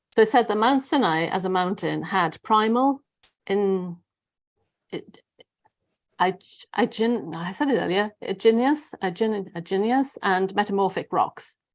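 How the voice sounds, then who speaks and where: A woman's medium-pitched voice, fairly slow pace, long and frequent pauses, ordinary pitch variation. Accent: Welsh. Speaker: spiritual guide. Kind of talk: casual chat. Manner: halting.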